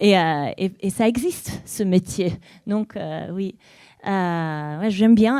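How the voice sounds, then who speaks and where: With an Italian accent, a woman speaks at medium pitch in a dark, mellow tone and fairly even intonation, the recording very clean and dry, close with no echo against a silent background. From Italy, small town surrounded by woods. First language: Italian (speaking French). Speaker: novelist and literary scout. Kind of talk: author talk at library event. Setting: library auditorium with audience. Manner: halting, many hesitations.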